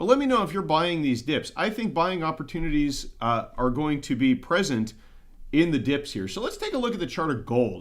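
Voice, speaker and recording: The speaker is a man. His intonation is lively. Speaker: precious metals investing YouTuber. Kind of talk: livestream market commentary. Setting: livestream. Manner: pauses a lot; throat clearing, repeating things.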